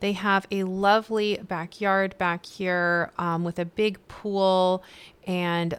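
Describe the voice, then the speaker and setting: A woman speaks in an unremarkable speaking voice at a medium pitch, on a very clean recording with a silent background. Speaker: video game streamer. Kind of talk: gameplay let's play narration. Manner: upbeat, casual.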